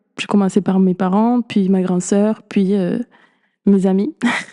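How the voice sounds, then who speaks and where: In a dark, mellow tone, a woman speaks at a fairly slow pace with medium pitch and monotone, flat intonation, the sound dry and close with no echo. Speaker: podcast host. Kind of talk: podcast monologue.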